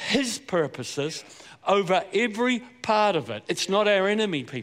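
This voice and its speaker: This man speaks with a Southland New Zealand accent and a high pitch. His pace is moderate. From New Zealand, Southland. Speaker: pastor. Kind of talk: sermon. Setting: church.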